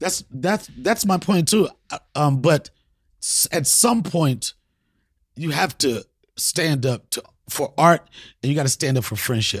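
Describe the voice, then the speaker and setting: Against a very clean recording with a silent background, a man speaks at a fairly slow pace. His pitch is fairly high, and he takes long, frequent pauses. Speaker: comedian host. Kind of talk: comedic rant, freestyle-style riffing. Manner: animated, profane, loud.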